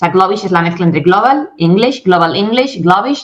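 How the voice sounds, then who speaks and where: Animated in tone, a woman talks with intonation that is lively. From Spain. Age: 40s. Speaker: English communication coach and company founder. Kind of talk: interview.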